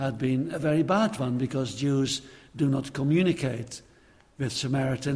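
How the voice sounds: A natural reading voice fills the clip. Nothing else is heard.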